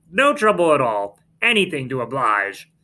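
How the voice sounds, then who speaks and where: Using a put-on character voice, a man speaks at a moderate pace with fairly high pitch and very wide pitch swings. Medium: read story.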